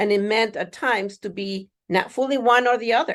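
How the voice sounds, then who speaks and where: At a fairly quick pace, a woman with a Spanish accent speaks with ordinary pitch variation against a quiet background. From Mexico. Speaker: university diversity administrator and psychologist. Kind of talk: keynote speech.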